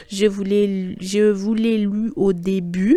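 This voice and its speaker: This very clean recording has a silent background. The woman heard on it talks at a medium pitch. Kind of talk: bible reflection monologue. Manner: slow; casual, halting.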